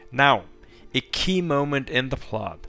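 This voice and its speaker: Over background music, a man talks fairly slowly, with ordinary pitch variation. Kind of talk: story recap and opinion narration. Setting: cheap gaming headset microphone. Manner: slow at times.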